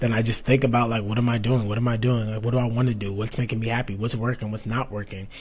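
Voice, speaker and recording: A man speaks very fast at a medium pitch, his voice somewhat breathy and his intonation flat and monotone. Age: 20s. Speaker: fitness coach and podcast host. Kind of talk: casual solo podcast monologue.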